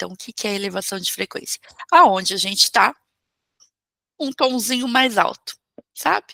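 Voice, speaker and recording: A woman speaks fairly slowly with a bright, sharp tone and fairly high pitch. Her pitch variation is ordinary, and the sound is dry and close with no echo. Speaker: holistic therapist and spiritual teacher. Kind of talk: online talk or class.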